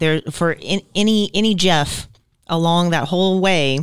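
A normal speaking voice from a woman, fairly low in pitch with ordinary variation, on a very clean recording with a silent background. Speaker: licensed professional counselor, co-host. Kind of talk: casual podcast conversation.

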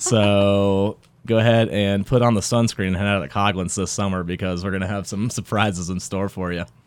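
A man talks at a fairly quick pace with hardly any pauses, in a fairly low voice and fairly even intonation. It is an unremarkable speaking voice. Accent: American. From Raleigh, North Carolina. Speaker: bar owner. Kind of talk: radio interview. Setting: studio.

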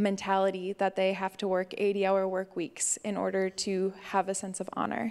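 A woman with a medium-pitched voice talks at a moderate pace in a very clean recording with a silent background. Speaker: missionary. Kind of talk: testimony. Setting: church.

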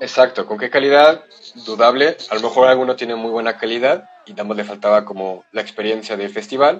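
A man with an ordinary speaking voice talks at a fairly quick pace with a medium pitch and ordinary pitch variation. His loudness swings widely. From Mexico, San Luis Potosí. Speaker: photographer. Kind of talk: casual chat.

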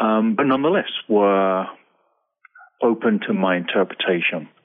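An English accent marks this man's speech. He keeps to a moderate pace. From England. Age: 40s. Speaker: lawyer turned speaker. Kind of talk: interview. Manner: hesitant, filler words.

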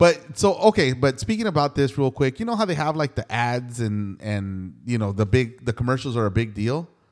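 With lively intonation and hardly any pauses, a man in an unremarkable speaking voice keeps a moderate pace. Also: medium pitch for a man. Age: 40s. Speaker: podcast host. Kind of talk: casual chat.

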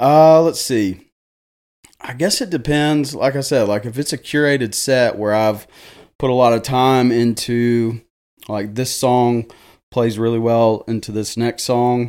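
The recording is very clean, with a silent background. A man with a Tennessee accent speaks at a medium pitch and a fairly slow pace, with ordinary pitch variation. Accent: Southern US (Tennessee). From Jackson, Tennessee (US South). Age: 30s. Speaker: DJ. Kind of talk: casual chat. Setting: studio.

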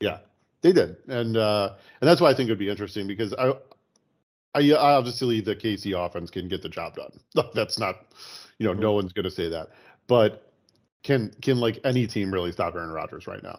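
On a very clean recording with a silent background, a man with a fairly low pitch talks at a fairly quick pace, with ordinary pitch variation, big swings in loudness and long, frequent pauses. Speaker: sports podcast co-host. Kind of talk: casual chat.

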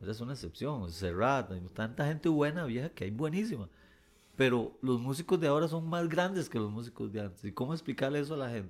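A man at a fairly quick pace, with very wide pitch swings, on a very clean recording with a silent background. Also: medium pitch for a man. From Costa Rica, Pérez Zeledón. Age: 50s. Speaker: singer-songwriter. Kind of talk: interview conversation.

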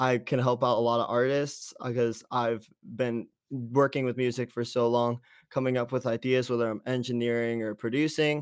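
This is a plain, everyday voice with an American accent, moving at a moderate pace. The recording is very clean, with a silent background. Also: man. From US East Coast, Pennsylvania boarding school. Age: young. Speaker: musician and producer. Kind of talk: interview.

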